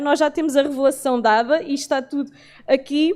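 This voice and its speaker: Using ordinary pitch variation, a woman with a high pitch talks at a moderate pace. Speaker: bible class teacher. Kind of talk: bible lecture.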